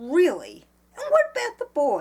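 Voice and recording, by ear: A woman does a put-on character voice at a high pitch, with very wide pitch swings. Her tone is slightly mellow and her pace fairly slow.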